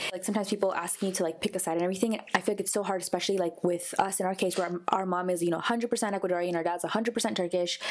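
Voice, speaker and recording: A woman at medium pitch speaks at a very fast pace with hardly any pauses and fairly even intonation. Noticeable background noise is present. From United States. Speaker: podcast co-host. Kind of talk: casual chat.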